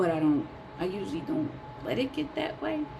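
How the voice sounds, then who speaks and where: A woman's pitch rises and falls very widely as she talks at a moderate speed, with clear room echo and noticeable noise behind her. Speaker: vlogger. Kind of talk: personal vlog monologue. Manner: calm, even tone; rarely raises voice.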